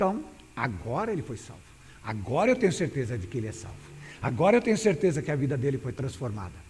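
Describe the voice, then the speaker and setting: A man talks very fast with vocal fry and very wide pitch swings. The room echo is audible. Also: fairly high pitch for a man. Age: 60s. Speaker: pastor. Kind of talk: sermon. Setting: church. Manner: halting.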